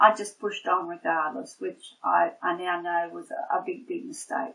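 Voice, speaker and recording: This woman speaks with an Australian accent. Her pace is moderate. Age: 60s. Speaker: nurse and patient. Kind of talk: testimony. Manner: halting, many fillers.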